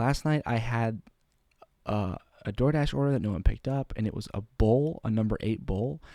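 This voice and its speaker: A quiet man's voice, fairly low and dark, mellow, at a moderate pace with ordinary pitch variation and a dry, close sound with no echo. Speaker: vlogger. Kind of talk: casual monologue. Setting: at home, roommates sleeping. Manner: trying to speak quietly.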